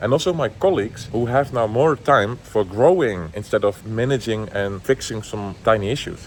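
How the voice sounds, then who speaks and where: Lively intonation from a man at medium pitch with a Dutch accent, at a moderate pace with hardly any pauses. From Netherlands. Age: 20s. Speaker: entrepreneur. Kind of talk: casual vlog talk to camera.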